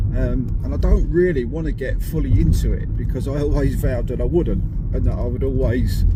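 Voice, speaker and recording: A man talks fairly quickly amid noticeable background noise, and the room echo is audible. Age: 50s. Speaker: amateur angler vlogger. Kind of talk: casual vlog to camera. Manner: hesitant, many ums.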